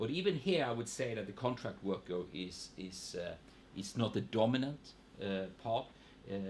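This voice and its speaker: Lively intonation at a moderate pace, somewhat breathy, with a slight Swedish accent. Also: man, medium pitch for a man. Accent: Swedish regional accent, slight in English. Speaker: economist. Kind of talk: panel seminar talk. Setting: seminar with audience. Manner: hesitant, many repetitions.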